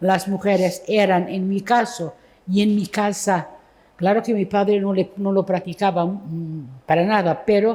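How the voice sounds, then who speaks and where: This voice has a dark, mellow tone and fairly even intonation. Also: woman, medium pitch for a woman, fairly slow pace. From Portugal. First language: Portuguese (speaking Spanish). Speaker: poet. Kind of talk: literary conversation on stage. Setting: book fair event with audience. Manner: halting.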